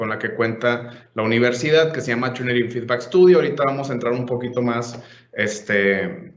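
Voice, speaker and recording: Audible room echo surrounds a voice in a Monterrey accent with ordinary pitch variation. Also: man. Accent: Monterrey (northern Mexican). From Mexico, Monterrey. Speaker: software trainer / conference speaker. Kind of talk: conference presentation / webinar.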